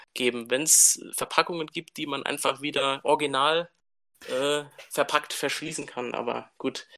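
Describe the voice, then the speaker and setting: A man with a plain, everyday voice speaks at a fairly slow pace in a fairly high pitch, with ordinary pitch variation, over a quiet background. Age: 30s. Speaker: teacher and collector. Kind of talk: casual interview.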